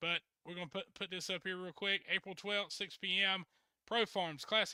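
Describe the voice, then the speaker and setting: A man with a Southern accent, high-pitched and raised, projected, bright and sharp in tone, with ordinary pitch variation, a moderate pace and a dry, close sound with no echo. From US South. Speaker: truck pulling show host. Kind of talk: casual interview show.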